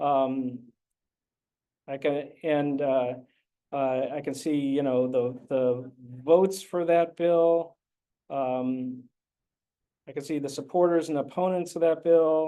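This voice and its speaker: Over a quiet background, a man speaks very slowly with long, frequent pauses, his dark, mellow tone set at a fairly high pitch with fairly even intonation. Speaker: newsroom editor and co-founder. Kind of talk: software demo presentation. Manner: hesitant, many fillers.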